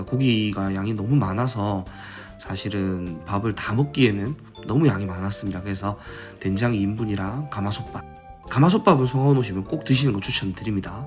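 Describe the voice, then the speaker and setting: Over music in the background, a man with a fairly low pitch speaks at a fairly quick pace with ordinary pitch variation. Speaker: food vlogger. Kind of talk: voice-over narration of a restaurant visit. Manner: calm, unscripted.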